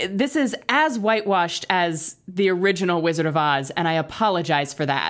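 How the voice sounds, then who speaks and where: An unremarkable speaking voice from a woman at medium pitch with lively intonation, on a very clean recording with a silent background. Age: 30s. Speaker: podcaster guest. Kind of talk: casual chat.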